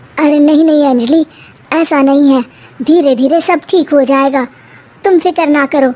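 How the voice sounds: A woman in a cartoonish character voice speaks at a high pitch and moderate pace, with fairly even intonation and long, frequent pauses.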